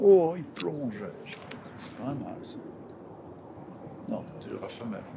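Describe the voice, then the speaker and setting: A man at fairly high pitch talks at a very slow pace with very wide pitch swings and big swings in loudness. Audible room echo and noticeable background noise fill the recording. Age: 60s. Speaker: taxidermist. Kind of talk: interview; casual chat.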